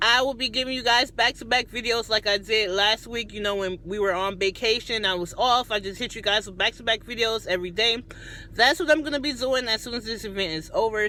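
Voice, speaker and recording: A normal speaking voice at a fairly quick pace, with hardly any pauses. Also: woman. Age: 30s. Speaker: YouTuber and chef. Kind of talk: cooking tutorial; casual vlog talk to camera.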